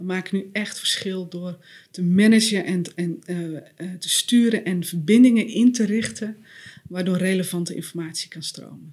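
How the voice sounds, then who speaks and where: At a moderate pace and medium pitch, a woman speaks in an unremarkable speaking voice with ordinary pitch variation and big swings in loudness. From Netherlands, West-Friesland. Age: 40s. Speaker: author and systemic coach. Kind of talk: podcast interview.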